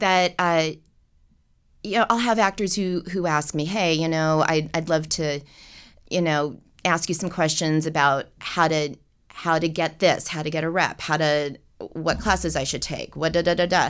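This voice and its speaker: A woman with an American accent, fairly low in pitch, at a moderate pace and with fairly even intonation, in a plain, everyday voice, on a very clean recording with a silent background. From US West Coast (Los Angeles / Seattle). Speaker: casting director and university professor. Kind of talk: casual interview chat.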